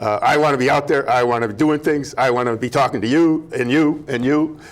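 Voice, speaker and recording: Over noticeable background noise, a man with an American accent talks at a fairly quick pace in a fairly high pitch and an animated tone. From US Midwest, Minnesota. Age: 60s. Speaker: former pro wrestler and wrestling coach. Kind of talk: casual interview. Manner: animated, halting with many fillers.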